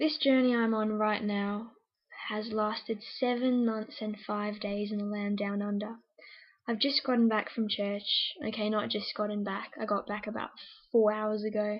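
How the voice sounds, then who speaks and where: This woman's voice sits fairly high and is somewhat breathy. Her intonation stays monotone and flat. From South Africa. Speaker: youth group member vlogger. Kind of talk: personal video diary testimony. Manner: casual, chatty.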